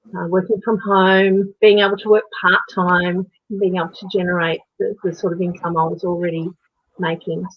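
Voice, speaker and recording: A woman speaks with an Australian accent at a medium pitch. Her pace is moderate and her intonation monotone and flat. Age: 50s. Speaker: natural horsemanship coach and online entrepreneur. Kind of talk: interview answer.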